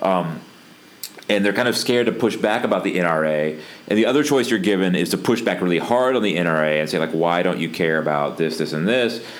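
A man with an American accent speaks in a very deep, low voice, at a fairly quick clip with lively intonation. His loudness stays very even, and there is noticeable background noise. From US South. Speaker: podcast host. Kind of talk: casual chat.

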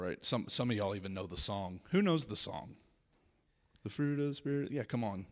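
A man with an American accent talks at a fairly quick pace in a normal speaking voice, his pitch fairly low and his intonation lively. The recording is very clean, with a silent background. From US South. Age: 20s. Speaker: speaker at a school spiritual week. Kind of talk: Q and A with students. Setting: stage with student audience.

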